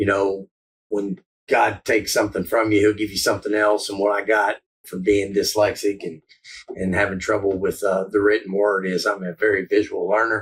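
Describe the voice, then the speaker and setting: The speaker talks at a moderate pace with an American accent and a somewhat breathy quality. The intonation stays monotone and flat. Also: man, fairly low pitch for a man. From West Virginia, St. Albans. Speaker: recovery house leader, former addict. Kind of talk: interview testimony.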